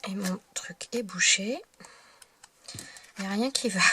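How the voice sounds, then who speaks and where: The speaker moves along very slowly with ordinary pitch variation while noticeable background noise plays behind. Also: woman. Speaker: card-making crafter. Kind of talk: tutorial. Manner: halting.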